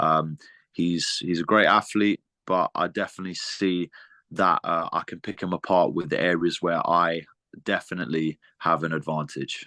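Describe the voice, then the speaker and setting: A man with a British accent speaks at a moderate pace in a very deep, low voice with a bright, sharp tone and fairly even intonation. The sound is dry and close with no echo, over a quiet background. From Britain, Lithuanian heritage. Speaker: MMA fighter. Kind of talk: interview. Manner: halting, many repeats and fillers.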